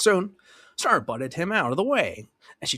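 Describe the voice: A quiet background behind plain reading aloud, the intonation lively.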